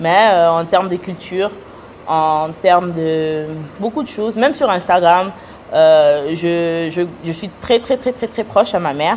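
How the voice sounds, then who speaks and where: At a fairly slow pace, a woman speaks in a fairly low pitch with ordinary pitch variation. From United States. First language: English (speaking French). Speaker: businesswoman. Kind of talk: interview. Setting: studio. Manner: halting.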